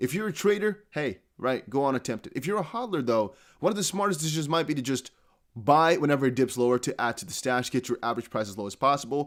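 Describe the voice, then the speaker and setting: In a very clean recording with a silent background, a man with a fairly high pitch speaks at a very fast pace with lively intonation. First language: not English. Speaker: crypto YouTuber. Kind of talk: casual video commentary. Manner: conversational, direct address to viewers.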